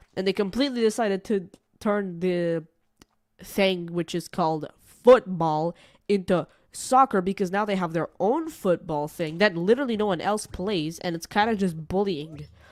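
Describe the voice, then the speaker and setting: A woman's animated voice with an American accent, medium in pitch, at a moderate pace with ordinary pitch variation. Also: very clean recording, silent background. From Portugal. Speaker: gaming streamer. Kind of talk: casual live-stream chat. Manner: rambling, animated.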